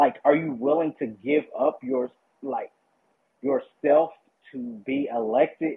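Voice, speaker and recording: In a Southern US accent, a man with a fairly high pitch talks at a fairly slow pace with fairly even intonation and long, frequent pauses. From US South, Kentucky. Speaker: caller, former local candidate. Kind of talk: call-in discussion.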